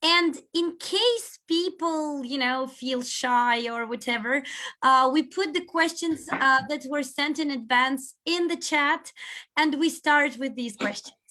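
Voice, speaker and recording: Speaking very slowly with a Russian accent, a woman uses a raised, projected voice that is high-pitched and bright and sharp, with ordinary pitch variation. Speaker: seminar host. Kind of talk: casual chat before online seminar. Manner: hesitant, with fillers.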